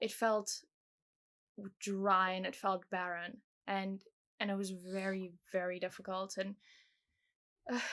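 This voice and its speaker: At a fairly slow pace, a woman speaks in a bright, sharp tone at a medium pitch, with monotone, flat intonation and long, frequent pauses, on a very clean recording against a silent background. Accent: South African. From South Africa, moved to England at ten. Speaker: guest sharing faith testimony. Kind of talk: testimony.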